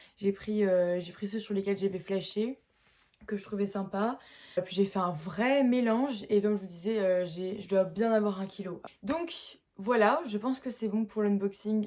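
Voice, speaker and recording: A woman's medium-pitched voice with a dark, mellow tone, ordinary pitch variation and a fairly slow pace. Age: young. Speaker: horse rider. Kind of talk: casual talk to camera.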